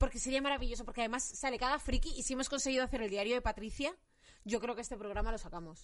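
This woman talks at a very fast pace in a high voice with ordinary pitch variation. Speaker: podcast host. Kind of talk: casual chat.

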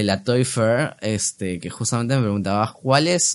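With lively intonation, a man talks at a moderate pace in an unremarkable speaking voice. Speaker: toy collector and content creator. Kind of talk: casual chat.

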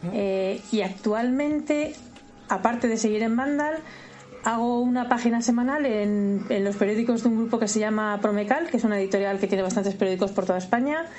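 Amid noticeable background noise and audible room echo, a woman talks at a fairly quick pace. Her fairly high pitch shows ordinary variation. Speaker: freelance video game journalist. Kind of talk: interview. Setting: video call.

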